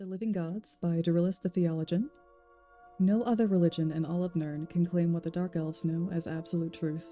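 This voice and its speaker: Soft-spoken woman with a calm tone, fairly low pitch and fairly even intonation at a fairly quick pace, music in the background. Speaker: ASMR reader / streamer. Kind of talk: fantasy lore book reading. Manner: soft, calm.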